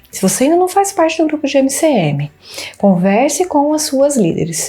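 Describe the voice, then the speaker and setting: Her tone is dark and mellow, and somewhat breathy. This woman speaks at a fairly slow pace. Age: 30s. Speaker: church women's group member. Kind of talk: testimony.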